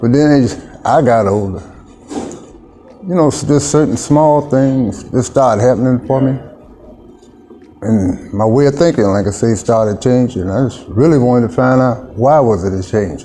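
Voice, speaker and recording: There is noticeable background noise behind a man at a medium pitch. He talks at a moderate pace with long, frequent pauses. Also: ordinary pitch variation. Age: 60s. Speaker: mission worker, former client. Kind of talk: interview testimony.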